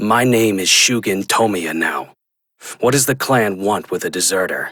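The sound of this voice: A man puts on a growling, cartoonish character voice at medium pitch, talking at a moderate pace.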